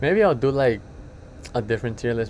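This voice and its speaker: A man is speaking. His voice is pitched at a medium level. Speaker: anime youtuber. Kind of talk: casual monologue. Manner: fast; casual, rambling slangy delivery.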